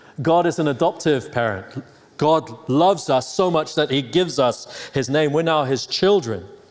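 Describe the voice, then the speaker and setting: A man with an American accent speaks at a moderate pace and fairly high pitch, with ordinary pitch variation. His loudness stays very even over noticeable background noise. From Hong Kong, then England. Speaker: pastor. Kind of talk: sermon. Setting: church.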